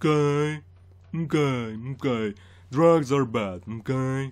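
Someone uses a put-on character voice, talking at a very slow pace with ordinary pitch variation. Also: man, medium pitch for a man.

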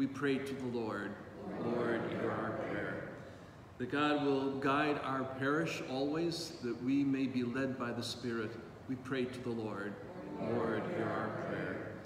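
A man speaking very slowly over loud background noise. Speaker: priest. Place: church.

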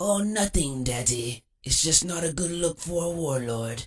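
This man uses a put-on character voice at a high pitch. He speaks at a moderate pace. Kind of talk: comic parody voice acting. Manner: prim, haughty, mocking, genteel.

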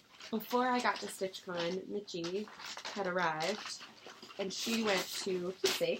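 Noticeable background noise surrounds a woman speaking at a fairly slow pace. She takes long, frequent pauses. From Kentucky. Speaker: cross stitch video creator. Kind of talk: casual chat. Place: home room. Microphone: webcam.

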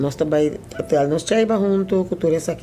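Delivered at a very fast pace with ordinary pitch variation, the speech has light background noise. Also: woman. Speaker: foundation spokesperson / interviewer; foundation spokesperson, interviewer. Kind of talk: documentary narration and interview. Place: office.

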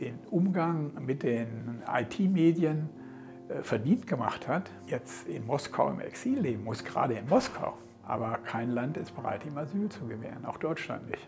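A man talks at a fairly slow pace with very wide pitch swings, and music plays clearly in the background. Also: medium pitch for a man. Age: 70s. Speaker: politician and lawyer. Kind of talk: interview answer. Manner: hesitant, with filler sounds. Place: office.

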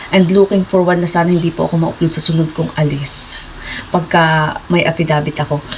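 Noticeable background noise sits behind a woman's fairly low voice. She speaks at a fairly quick pace in a monotone, flat intonation. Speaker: vlogger, former overseas worker. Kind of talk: casual vlog storytelling.

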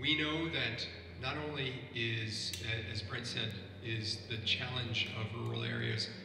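Speaking with an American accent, a man uses a medium pitch at a fairly slow pace. Noticeable background noise and audible room echo fill the recording. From US Midwest (Ohio). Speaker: government official on panel. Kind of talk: roundtable moderation. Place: factory.

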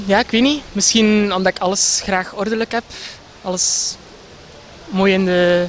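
Speaking at a fairly slow pace with a West Flemish accent, a man uses a high pitch for a man and fairly even intonation, with long, frequent pauses over light background noise. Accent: West Flemish Dutch. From Belgium, West Flanders (Ypres). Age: 20s. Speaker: pageant contestant. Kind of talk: short interview. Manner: hesitant, many fillers. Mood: cheerful, smiling. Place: garden. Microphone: handheld.

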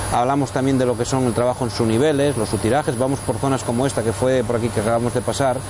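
Noticeable background noise fills the clip. In it, a man rattles along at a very fast pace. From Asturias, Spain. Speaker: coal miner and mine guide. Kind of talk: guided tour explanation. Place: tunnel cave. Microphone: lapel.

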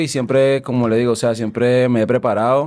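A man is speaking. His pace is fairly quick. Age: 30s. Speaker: musician; podcast guest. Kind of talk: podcast interview. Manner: hesitant, many fillers. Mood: relaxed, reflective. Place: studio. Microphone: studio mic.

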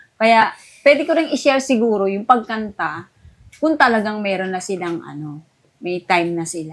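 A woman speaks at a medium pitch and a moderate pace. Her voice has very wide pitch swings and big swings in loudness. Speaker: veteran choir singer. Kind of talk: casual chat.

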